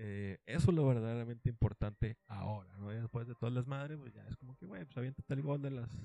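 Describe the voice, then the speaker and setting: A man with a medium pitch and a dark, mellow tone speaks at a fairly quick pace, with hardly any pauses and ordinary pitch variation. His loudness swings widely, and the sound is dry and close with no echo. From Monterrey, Nuevo León, Mexico. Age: 20s. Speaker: podcast host. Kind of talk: casual solo monologue. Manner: casual, filler-heavy.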